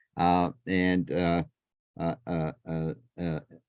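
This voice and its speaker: The recording is dry and close, without echo. The speaker is a man. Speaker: board chair interviewer. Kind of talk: board meeting interview. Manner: halting, many filler words.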